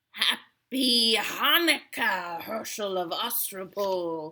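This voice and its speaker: Bellowing in a put-on character voice, a woman speaks at a medium pitch and a very slow pace. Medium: read story. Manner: menacing, gloating.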